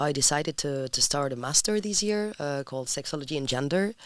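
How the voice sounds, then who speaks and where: A woman with a Spanish accent speaks at a very deep, low pitch. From Spain, Madrid. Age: 20s. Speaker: sexology student. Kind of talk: podcast interview. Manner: halting.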